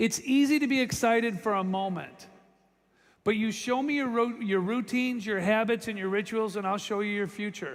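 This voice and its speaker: A man speaks loudly in an animated tone. His pitch is high. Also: ordinary pitch variation, moderate pace. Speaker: motivational speaker at sales convention. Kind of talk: motivational speech. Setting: stage with audience.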